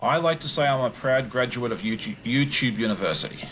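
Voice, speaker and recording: Someone with an Australian accent speaks at a moderate pace with ordinary pitch variation, over noticeable background noise. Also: man. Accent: Australian, largely retained. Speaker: quilter and quilting YouTuber. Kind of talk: podcast interview.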